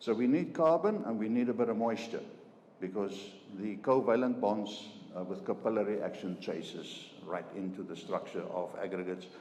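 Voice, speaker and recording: A South African accent with ordinary pitch variation, amid noticeable background noise and audible room echo. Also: man. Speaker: chemical engineer. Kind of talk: business presentation. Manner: halting, many fillers and repetitions.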